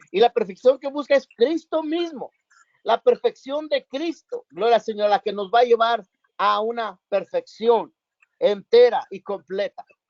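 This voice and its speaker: Lively, fairly slow speech from a man with an extremely high pitch. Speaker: bible study teacher. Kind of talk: bible study.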